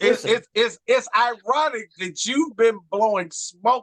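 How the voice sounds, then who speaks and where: Recorded dry and close with no echo, a man speaks in an extremely high pitch with a bright, sharp tone and ordinary pitch variation. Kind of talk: wrestling talk show banter. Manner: brash, trash-talking.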